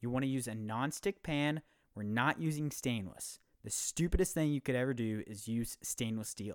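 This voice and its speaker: At a moderate pace, a man talks with medium pitch in a plain, everyday voice. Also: lively intonation. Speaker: podcast host. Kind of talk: casual chat; tutorial. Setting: video call.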